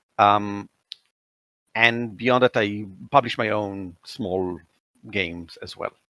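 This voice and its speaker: A man with an Israeli accent, fairly low in pitch and bright and sharp in tone, at a very slow pace with long, frequent pauses, fairly even intonation and big swings in loudness. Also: dry, close sound with no echo. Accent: Israeli accent, clear. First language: Hebrew. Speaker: tabletop game editor and designer. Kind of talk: casual interview chat.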